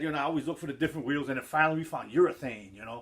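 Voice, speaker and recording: A man talks in an animated tone with a New York accent. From New York City, the Bronx. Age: 50s. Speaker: skateboard hobbyist vlogger. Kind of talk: casual vlog talk. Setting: at home.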